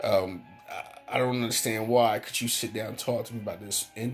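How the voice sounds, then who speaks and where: A man mumbles. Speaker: vlogger. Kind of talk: casual monologue. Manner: mumbling; halting.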